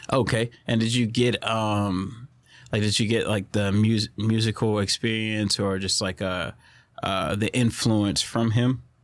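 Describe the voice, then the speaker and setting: In an unremarkable speaking voice, the speaker talks at a fairly slow pace with fairly even intonation, captured in a very clean recording with a silent background. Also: man, fairly low pitch for a man. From Southeast Texas. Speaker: podcast host. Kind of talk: casual chat. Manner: casual, laid-back.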